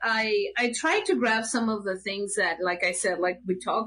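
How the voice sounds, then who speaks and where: A woman speaks at a fairly high pitch with a Mexican accent. The background is quiet. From Mexico City, Mexico. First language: Spanish. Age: 50s. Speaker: puppeteer. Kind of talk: casual interview. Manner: halting.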